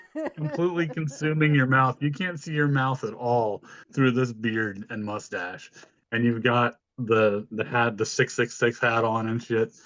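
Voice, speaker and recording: The voice is a plain, everyday voice with ordinary pitch variation. It moves at a moderate pace. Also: man, medium pitch for a man. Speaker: podcast co-host and streamer. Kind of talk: casual chat.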